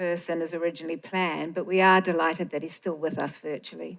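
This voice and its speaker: A woman with a New Zealand accent, at a very fast pace. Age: old. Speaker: film organisation director. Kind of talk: stage introduction speech.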